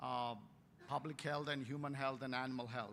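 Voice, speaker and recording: Bright and sharp in tone, a man with an Indian accent speaks in fairly even intonation. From India, Warangal, Telangana. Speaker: veterinary scientist, keynote speaker. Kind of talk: keynote lecture. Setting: conference stage with audience. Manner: hesitant, many fillers.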